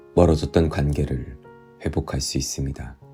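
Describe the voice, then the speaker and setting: With music in the background, the voice is calm and soothing, fairly slow and fairly even in intonation. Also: man. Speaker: actor. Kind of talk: audiobook reading. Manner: calm, soothing.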